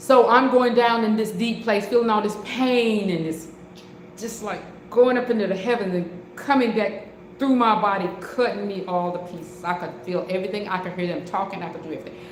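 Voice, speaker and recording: Amid noticeable background noise and audible room echo, a woman talks at a fairly quick pace with a medium pitch and ordinary pitch variation. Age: 60s. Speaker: online preacher. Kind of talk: testimony; live-stream sermon. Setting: live stream. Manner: halting, repeats words.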